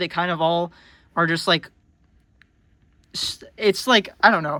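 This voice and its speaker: Projecting his voice, a man speaks at a fairly quick pace with a bright, sharp tone. The recording is very clean, with a silent background. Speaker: book reviewer. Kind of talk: casual book review monologue. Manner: shaky, halting.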